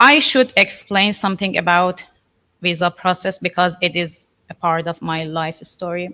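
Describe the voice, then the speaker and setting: With a Persian accent, a woman speaks at a moderate pace in a fairly low pitch and a bright, sharp tone. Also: ordinary pitch variation. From Iran. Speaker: artist. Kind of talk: artist talk to an audience. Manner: halting.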